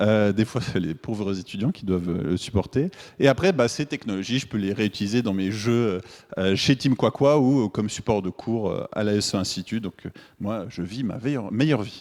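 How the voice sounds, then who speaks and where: A man with a Swiss French accent speaks at a moderate pace, fairly low in pitch with ordinary pitch variation, on a very clean recording with a silent background. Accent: Swiss French accent, noticeable. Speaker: game developer and teacher. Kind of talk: conference talk. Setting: stage with audience. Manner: hesitant, many filler words.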